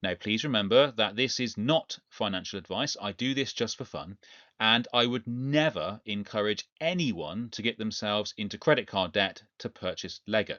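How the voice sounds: A man with a fairly low pitch and lively intonation speaks in a fairly bright tone, recorded with a dry, close sound and no echo. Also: moderate pace.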